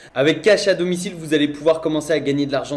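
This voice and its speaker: The man's pitch is fairly high, and his intonation is fairly even. Noticeable background noise is present. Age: 20s. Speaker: online entrepreneur / YouTuber. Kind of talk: sales pitch.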